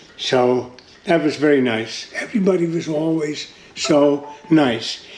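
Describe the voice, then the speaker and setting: Music plays in the background as a man with a fairly high pitch speaks at a fairly slow pace with ordinary pitch variation. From Netherlands. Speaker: World War II survivor. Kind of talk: interview answer.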